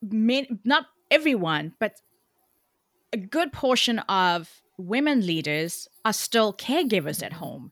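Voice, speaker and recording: A woman with a South African accent talks at a very slow pace and a fairly high pitch. Her pitch swings very widely, and the recording is very clean against a silent background. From South Africa, Cape Town. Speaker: communications coach. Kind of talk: interview. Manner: animated.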